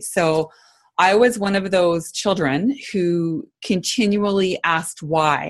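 Speaking at a very slow pace, a woman with a Canadian accent uses a medium pitch with ordinary pitch variation. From Canada, small town in Alberta. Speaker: leadership consultant. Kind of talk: interview conversation.

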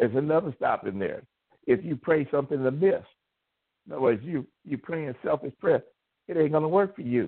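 Fairly high in pitch, a man talks at a moderate pace with lively intonation. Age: 60s. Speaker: pastor. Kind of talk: sermon. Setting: phone call.

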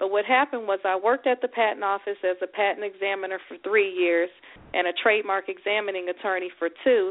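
A woman speaks at a very fast pace with a Southern US accent. Her pitch is medium and her intonation fairly even. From Houston, Texas. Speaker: attorney. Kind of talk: radio interview. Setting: phone call.

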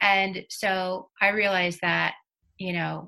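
Bright and sharp in tone, a woman speaks at a fairly low pitch and a fairly slow pace. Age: 50s. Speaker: intuitive coach and therapist. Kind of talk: interview. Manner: hesitant, many fillers.

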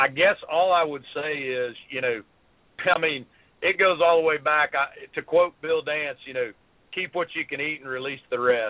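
With a Southern US accent, a man speaks at a moderate pace. His pitch is fairly high and varies in an ordinary way. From South Carolina. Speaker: fishing TV show host. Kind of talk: casual interview chat.

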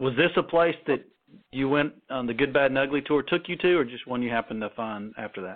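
A man talks at a fairly quick pace in an unremarkable speaking voice, medium-pitched with ordinary pitch variation. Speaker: radio host. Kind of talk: casual interview.

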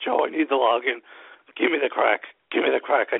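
Using a put-on character voice, a man speaks at a fairly quick pace. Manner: begging, pleading.

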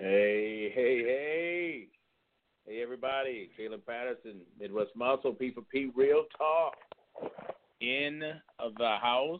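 A man speaks slowly in a theatrical tone. His pitch is medium, with ordinary pitch variation.

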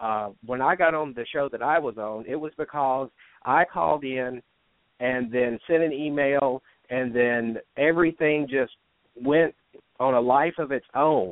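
A man's plain, everyday voice at medium pitch, with ordinary pitch variation and a fairly slow pace. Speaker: author. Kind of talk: casual chat.

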